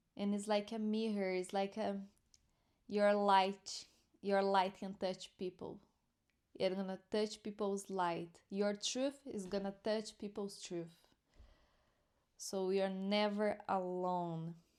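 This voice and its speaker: A woman with a non-native accent, medium pitch and monotone, flat intonation, speaking at a very slow pace with long, frequent pauses. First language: not English. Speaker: spiritual teacher. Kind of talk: spiritual commentary and teaching. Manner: halting.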